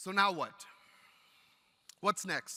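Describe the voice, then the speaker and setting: With a raised, projected voice, a man speaks at a high pitch in a bright, sharp tone. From Texas, El Paso border region. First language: Spanish. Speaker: teacher and union leader. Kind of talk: keynote speech. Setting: stage with audience. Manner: animated.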